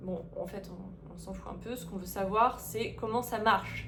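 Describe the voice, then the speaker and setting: A woman is speaking. Her pace is fairly slow. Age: 30s. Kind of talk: casual talk to camera.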